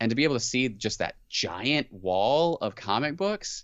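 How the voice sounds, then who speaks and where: Using a plain, everyday voice, a man with an American accent speaks at a moderate pace with lively intonation. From US Midwest and South. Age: 30s. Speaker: podcast co-host. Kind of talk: casual chat. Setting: remote call.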